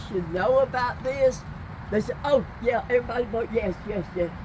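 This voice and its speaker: Heard over noticeable background noise, a woman with an American accent speaks at a fairly high pitch with ordinary pitch variation. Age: 80s+. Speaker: citizen at public meeting. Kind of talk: public question at outdoor meeting. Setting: outdoors, parking lot.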